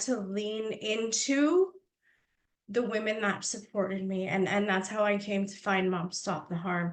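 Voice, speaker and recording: A woman uses a fairly high pitch, and her pitch variation is ordinary. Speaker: lived-experience advocate. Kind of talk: panel testimony. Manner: loud.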